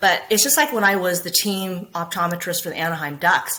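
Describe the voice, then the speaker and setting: With an American accent, a woman talks at a moderate pace. There is noticeable background noise. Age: 50s. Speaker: optometrist. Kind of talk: interview. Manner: animated.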